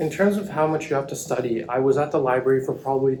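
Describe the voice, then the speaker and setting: A man with a fairly high pitch talks at a very fast pace against noticeable background noise. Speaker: medical student vlogger. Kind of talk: vlog narration.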